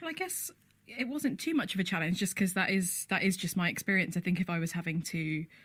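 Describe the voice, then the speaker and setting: A woman talks very fast with a British accent. Her pitch is medium, with ordinary variation. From UK. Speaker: playwright. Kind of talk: radio interview.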